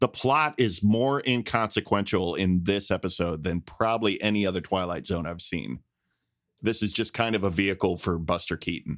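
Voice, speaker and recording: In a very clean recording with a silent background, a man with an ordinary speaking voice talks at a moderate pace and a fairly low pitch, with ordinary pitch variation. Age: 40s. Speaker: illustrator and podcast co-host. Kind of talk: casual chat.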